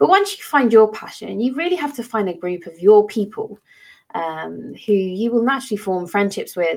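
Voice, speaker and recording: In a normal speaking voice, a woman talks fairly quickly at a fairly high pitch with lively intonation. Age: 30s. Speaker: teacher and podcast host. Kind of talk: solo educational podcast talk.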